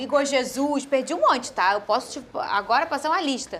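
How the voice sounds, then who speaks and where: This woman speaks with a high pitch. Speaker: sports show host. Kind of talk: studio panel discussion. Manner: soft-spoken.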